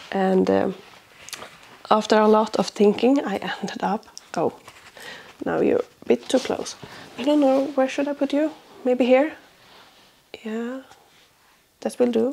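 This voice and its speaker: A woman speaks in a Swedish accent with long, frequent pauses. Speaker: crafting podcaster. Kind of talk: casual vlog chat. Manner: hesitant, many fillers.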